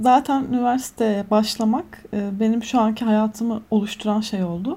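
This woman talks at a moderate pace in a dark, mellow tone with a fairly high pitch. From Turkey, Antalya. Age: 20s. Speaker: media professional. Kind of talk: casual chat. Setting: video call.

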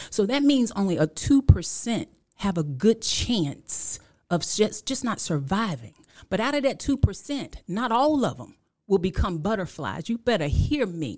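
Very wide pitch swings and vocal fry at a fairly slow pace, on a very clean recording with a silent background. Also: woman, medium pitch for a woman. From Washington, D.C. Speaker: author and motivational speaker. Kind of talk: preaching-style testimony. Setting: studio. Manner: animated.

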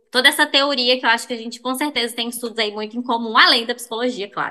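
Here a woman speaks with a fairly high pitch. Her tone is bright and sharp. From Belo Horizonte, Brazil. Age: 20s. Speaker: sex therapist. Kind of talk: casual chat.

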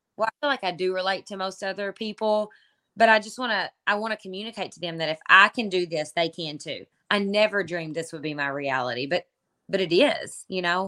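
On a very clean recording with a silent background and a dry, close sound with no echo, a woman with a Kentucky accent speaks at a fairly quick pace in a medium pitch, with lively intonation and a bright, sharp tone. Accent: Kentucky Southern US. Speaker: online entrepreneur and mom. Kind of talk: casual interview chat.

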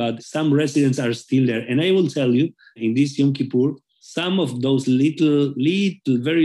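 In a Spanish accent, a man speaks at medium pitch with a dark, mellow tone. His pace is moderate and his pitch varies in an ordinary way. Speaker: rabbi. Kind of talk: interview. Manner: halting.

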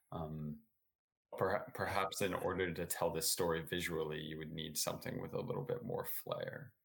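A man with an American accent, a very deep, low pitch, ordinary pitch variation and a moderate pace. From New Jersey. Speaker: podcast co-host, writer. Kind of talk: casual chat. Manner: halting.

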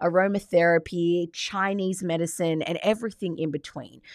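A woman with an Australian accent, animated tone and fairly slow pace, in a very clean recording with a silent background. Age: 30s. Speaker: podcast host, life coach. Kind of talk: solo podcast monologue.

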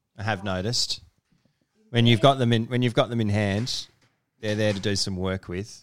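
Speaking in an Australian accent, a man talks at a fairly quick pace. His pitch is fairly low, with ordinary pitch variation. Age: 30s. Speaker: podcast host. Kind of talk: casual chat. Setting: at home.

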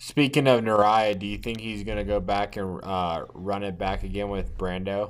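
A man's unremarkable speaking voice, fairly low in pitch, at a moderate pace with fairly even intonation and hardly any pauses. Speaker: podcast co-host.

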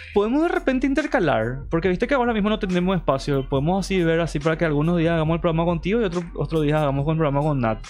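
Talking at a very fast pace with hardly any pauses, a man uses a high pitch and lively intonation while his loudness stays very even. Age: 30s. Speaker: podcast host. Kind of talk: casual chat. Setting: live stream.

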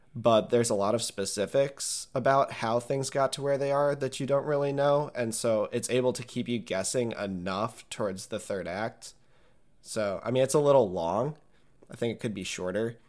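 Very clean with a silent background, the recording has a man with an ordinary speaking voice, medium pitch, ordinary pitch variation and a moderate pace. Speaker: podcast co-host. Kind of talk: casual chat.

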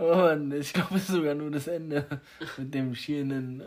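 A man talks in a fairly high pitch, his intonation lively. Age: 30s. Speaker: podcast host. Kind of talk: casual chat. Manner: animated.

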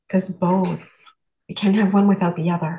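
A woman's somewhat breathy voice, dark and mellow in tone, at a medium pitch with monotone, flat intonation and a moderate pace. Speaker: class participant. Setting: video call. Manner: hesitant, many fillers.

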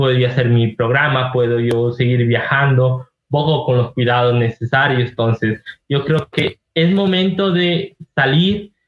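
A man speaks at a fairly slow pace in an unremarkable speaking voice. His pitch is fairly high, with ordinary pitch variation. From Ecuador, Ibarra (Imbabura). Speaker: travel content creator. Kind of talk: casual interview chat.

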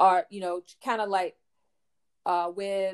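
In a rural Louisiana accent, the speaker talks at a fairly slow pace with monotone, flat intonation. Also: woman. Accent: rural Southern US (Louisiana). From US South, rural Louisiana. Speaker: author. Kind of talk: interview.

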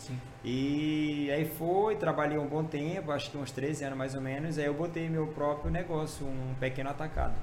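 A man with a Maranhão accent, fairly high pitch, fairly even intonation and hardly any pauses, with noticeable background noise and audible room echo. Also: moderate pace. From Maranhão, Brazil. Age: 40s. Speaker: pastor. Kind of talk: testimony. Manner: casual, halting with fillers.

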